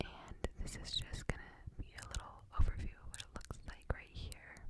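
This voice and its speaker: Whispering comes through at a very slow pace. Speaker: ASMR creator. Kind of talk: ASMR room tour voice-over. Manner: whispered.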